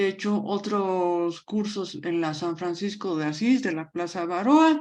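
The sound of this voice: Intonation is lively, at a fairly slow pace. The tone is slightly mellow. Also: woman, fairly low pitch for a woman.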